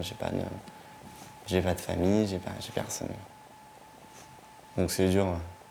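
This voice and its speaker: The delivery is monotone, with flat intonation. Audible room echo and noticeable background noise fill the recording. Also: man. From northern France, Vernon, Normandy. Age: 20s. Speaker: young homeless resident of a shelter. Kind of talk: documentary interview testimony. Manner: halting.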